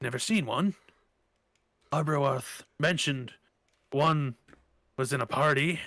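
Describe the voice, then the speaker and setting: A man uses a put-on character voice, fairly high in pitch. He talks fairly slowly, with long, frequent pauses. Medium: actual play. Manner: brusque, authoritative.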